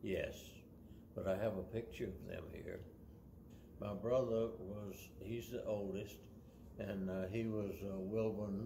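In a Southern US accent, a man speaks at a very slow pace and fairly low pitch, with monotone, flat intonation and long, frequent pauses. Audible room echo and light background noise are present. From US South, Mississippi. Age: 80s+. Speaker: retiree recounting his life. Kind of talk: life story interview. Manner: halting, many fillers and repeats.

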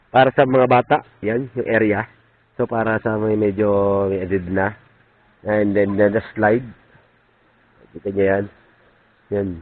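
A man with a fairly low pitch talks at a fairly slow pace. His intonation is fairly even, with long, frequent pauses. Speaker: vlogger. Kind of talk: casual vlog narration.

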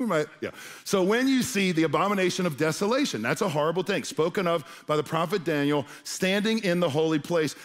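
Here a man talks at a high pitch with ordinary pitch variation and a fairly quick pace. The background is quiet. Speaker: pastor. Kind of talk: sermon. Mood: humorous, playful asides. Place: stage. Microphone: headset.

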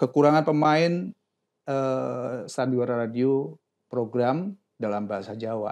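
Lively intonation marks a man talking at a fairly slow pace against a quiet background. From Yogyakarta, Indonesia. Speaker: voice actor and studio owner. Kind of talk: casual chat. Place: studio. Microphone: lapel.

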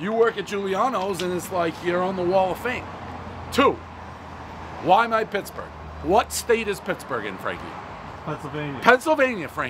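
There is noticeable background noise behind the man talking. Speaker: food reviewer. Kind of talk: casual review commentary. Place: street. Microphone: camera far.

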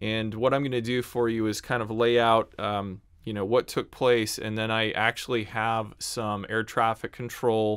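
A man's fairly slow, monotone, flat delivery over a quiet background. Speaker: online news host. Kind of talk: commentary. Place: home room. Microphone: studio mic.

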